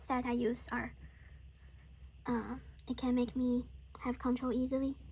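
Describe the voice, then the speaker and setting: Speaking at a fairly slow pace, a woman talks in a Chinese accent. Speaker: watercolor artist. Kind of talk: casual painting tutorial chat. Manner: halting, many fillers.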